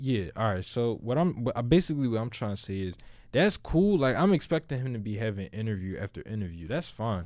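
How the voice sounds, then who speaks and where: On a very clean recording with a silent background, a man at a medium pitch makes very wide pitch swings. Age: 20s. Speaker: podcast co-host. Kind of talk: casual chat. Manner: animated.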